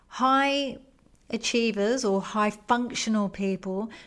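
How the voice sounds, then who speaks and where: Her voice fairly high in pitch, a woman talks at a very slow pace. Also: very clean recording, silent background. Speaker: podcast host, wellness coach. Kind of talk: explanatory wellness podcast monologue. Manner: calm, soothing, measured.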